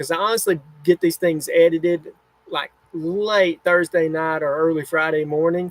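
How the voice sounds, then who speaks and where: With an American accent, a man speaks in a fairly high pitch with fairly even intonation. The recording is dry and close with no echo. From US South. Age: 40s. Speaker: camping YouTuber. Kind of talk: livestream chat reading comments. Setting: home livestream in RV.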